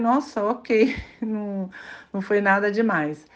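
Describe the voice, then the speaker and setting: A woman speaks in a medium-pitched voice. The background is quiet. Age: 50s. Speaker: listener sending audio message. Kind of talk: voice message.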